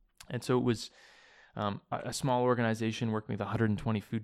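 On a very clean recording with a silent background, a man with a Canadian accent and a plain, everyday voice speaks at a fairly quick pace and fairly low pitch. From Saskatchewan and Hamilton, Ontario, Canada. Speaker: social enterprise director. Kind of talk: interview. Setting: office in Toronto.

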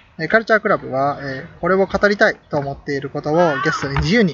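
There is music in the background as a man speaks. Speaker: podcast host. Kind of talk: casual chat.

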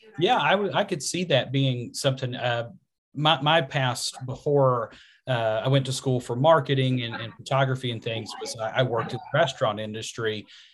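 Somewhat breathy and medium in pitch, a man with a Southwest Virginia accent speaks at a moderate pace with ordinary pitch variation. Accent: Southwest Virginia twang. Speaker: podcast host. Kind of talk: casual interview.

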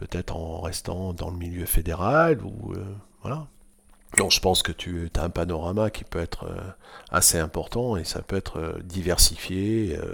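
In a very clean recording with a silent background, a man with a very deep, low pitch talks at a fairly slow pace with ordinary pitch variation. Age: 60s. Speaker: water-ski club president. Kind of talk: casual chat. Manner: halting.

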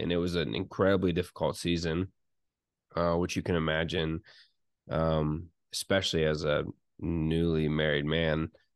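With long, frequent pauses, a man speaks at a moderate pace in a very deep, low voice with monotone, flat intonation and very even loudness over a quiet background. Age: 30s. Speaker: pastor, soccer coach and small business owner. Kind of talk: casual chat.

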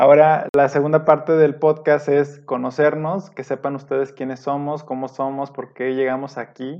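Monotone, flat delivery at a moderate pace. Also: man. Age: 30s. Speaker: podcast co-host, industrial engineer. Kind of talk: casual chat.

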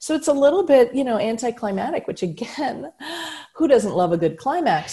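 A woman speaks with a dark, mellow tone that is somewhat breathy. Her pitch swings very widely. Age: 50s. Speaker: speaker and humor strategist. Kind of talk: casual chat.

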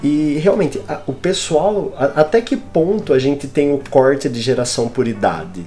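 A man talks at a fairly slow pace with lively intonation. He has a normal speaking voice and a fairly high pitch. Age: 20s. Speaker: podcast host. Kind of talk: casual chat. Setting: live stream.

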